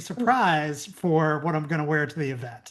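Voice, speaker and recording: A woman talks at a moderate pace. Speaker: podcast host. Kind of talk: casual podcast conversation.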